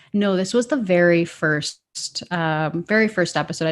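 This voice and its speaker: A woman speaks with a Canadian accent and a fairly low pitch. The recording is very clean, with a silent background. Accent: Canadian, sounds a bit like Minnesota. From Canada. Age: 30s. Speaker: citizen sleuth. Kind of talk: interview conversation.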